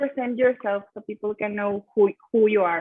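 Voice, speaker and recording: With a Spanish accent, a woman speaks at a moderate pace. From Mexico. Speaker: talk show host, engineering student. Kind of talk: interview.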